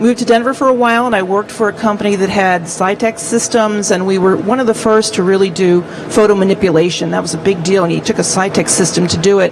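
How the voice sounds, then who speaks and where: Over noticeable background noise, a woman at medium pitch talks at a fairly quick pace with fairly even intonation and hardly any pauses. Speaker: print industry executive. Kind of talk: panel introduction. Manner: soft-spoken. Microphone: too quiet, hard to hear.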